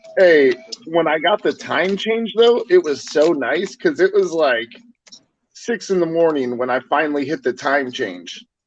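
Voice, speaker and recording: Loud and with lively intonation, a man speaks at a fairly slow pace in a high pitch. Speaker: livestream co-host. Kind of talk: casual chat.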